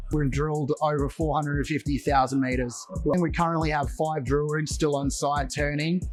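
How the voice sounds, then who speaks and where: Over music in the background, a man with an Australian accent talks at a very even loudness. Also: moderate pace, hardly any pauses. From Western Australia (Perth). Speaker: mining exploration executive. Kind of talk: interview. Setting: mining investment event.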